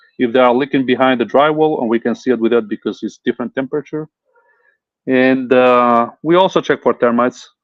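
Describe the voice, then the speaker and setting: A man's medium-pitched voice with a non-native accent, fairly even intonation and a fairly quick pace. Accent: foreign. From Italy. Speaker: home inspector. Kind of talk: interview. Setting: live stream. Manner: hesitant, many fillers.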